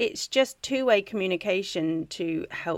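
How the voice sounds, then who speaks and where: Here a woman speaks with a southern English accent. Her pace is fairly slow. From England (Wiltshire). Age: 40s. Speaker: charity founder, ex-military. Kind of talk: interview.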